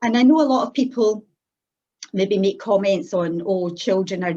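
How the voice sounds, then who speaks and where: Lively intonation at a moderate pace, in a Scottish accent. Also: woman. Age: 60s. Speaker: church member giving her testimony. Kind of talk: testimony.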